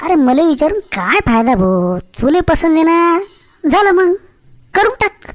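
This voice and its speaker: A cartoonish character voice from a woman, extremely high-pitched with lively intonation, fairly slow, at very even loudness, with a dry, close sound and no echo. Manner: rustic, bantering.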